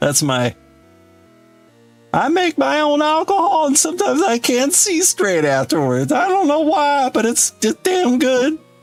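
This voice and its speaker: Faint music plays behind a man doing a put-on character voice at an extremely high pitch, moving at a moderate pace. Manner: slurred, rustic.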